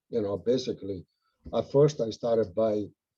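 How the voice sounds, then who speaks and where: A man with an Italian accent, a dark, mellow tone, fairly even intonation and a moderate pace. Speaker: house painter and monarch butterfly enthusiast. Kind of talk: casual Q and A on video call. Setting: video call.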